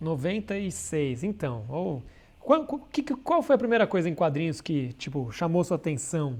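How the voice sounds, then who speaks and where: A man's high-pitched voice with very wide pitch swings, at a moderate pace. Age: 40s. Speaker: comic artist. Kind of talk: casual chat. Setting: live stream.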